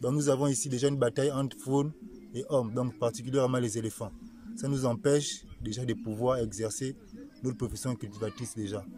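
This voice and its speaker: This man speaks at a fairly quick pace. His pitch varies in an ordinary way. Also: medium pitch for a man. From Gabon, Nyanga province. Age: young. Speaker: farmer. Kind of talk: interview. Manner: halting.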